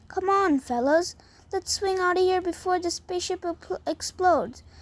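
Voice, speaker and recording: Putting on a character voice, a woman speaks at a moderate pace in an extremely high pitch. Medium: read story. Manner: boastful, naive.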